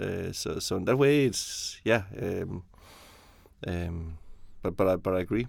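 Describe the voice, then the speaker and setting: Fairly slow speech in a Danish accent with ordinary pitch variation and long, frequent pauses, on a very clean recording with a silent background. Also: man, very deep, low pitch for a man. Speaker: venture investor. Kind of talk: casual chat. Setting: studio. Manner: halting, many repetitions and fillers.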